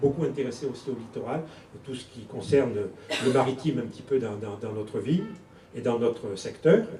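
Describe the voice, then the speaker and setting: At a fairly quick pace and fairly high pitch, a man speaks amid noticeable background noise and audible room echo. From southern France, Toulon. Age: 60s. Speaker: politician, election candidate. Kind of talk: campaign speech at public meeting. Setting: public meeting hall with audience.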